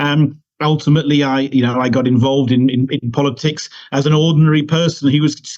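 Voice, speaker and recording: A man with a British accent speaks at a fairly high pitch. His intonation is monotone and flat. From United Kingdom. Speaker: political party leader. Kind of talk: interview. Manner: halting, many repetitions.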